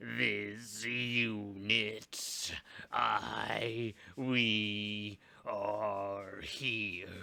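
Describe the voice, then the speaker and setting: A man puts on a raspy character voice at medium pitch. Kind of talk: mechanical unit statements. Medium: read story. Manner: halting, fragmented speech.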